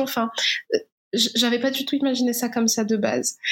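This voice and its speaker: A woman's fairly high voice with fairly even intonation, at a fairly slow pace. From Morocco. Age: 20s. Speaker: documentary filmmaker. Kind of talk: interview. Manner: halting.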